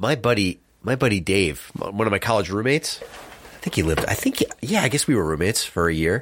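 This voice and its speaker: A man's plain, everyday voice, fairly low in pitch, with an American accent, lively intonation, a fairly quick pace and hardly any pauses. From New Jersey, US. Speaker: cycling podcast co-host, amateur bike racer. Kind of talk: casual chat. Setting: studio.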